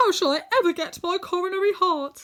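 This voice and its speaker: This woman uses a squeaky, put-on character voice at an extremely high pitch. She talks at a fairly quick pace. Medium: read story.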